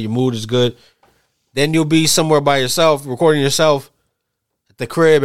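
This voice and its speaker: A man's very fast delivery with fairly even intonation. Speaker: podcast host. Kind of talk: casual banter about hip hop. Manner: casual, profane, conversational.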